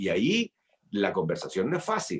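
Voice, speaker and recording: The pitch swings very widely. A man is doing the talking. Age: 60s. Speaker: senator. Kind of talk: interview.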